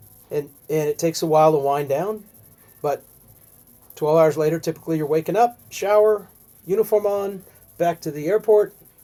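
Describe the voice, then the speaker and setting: A man speaks at a moderate pace with a high pitch, ordinary pitch variation and long, frequent pauses, while music plays in the background. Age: 60s. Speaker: airline pilot. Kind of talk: casual chat. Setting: podcast interview.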